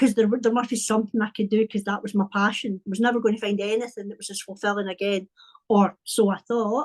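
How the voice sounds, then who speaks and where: A woman with a Scottish accent speaks at a fairly high pitch in a flat monotone. The sound is dry and close, with no echo. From Scotland, Paisley near Glasgow. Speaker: wellbeing and creativity coach. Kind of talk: casual interview chat.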